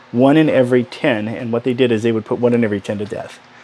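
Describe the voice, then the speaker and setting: A man talks at a very fast pace over noticeable background noise. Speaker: book vlogger. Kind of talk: casual monologue. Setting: small room at home.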